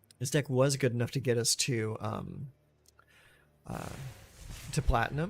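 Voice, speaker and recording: A somewhat breathy man at a moderate pace and medium pitch, fairly even intonation, long, frequent pauses. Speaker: gaming streamer. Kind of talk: live gameplay commentary. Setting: live stream. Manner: halting, stammering.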